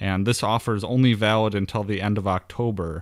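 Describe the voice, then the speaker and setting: With a Wisconsin accent, a man speaks at a moderate pace and a fairly low pitch. His intonation is fairly even, in a very clean recording with a silent background. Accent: folksy Wisconsin. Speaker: podcast host. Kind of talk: podcast monologue with sponsor plugs.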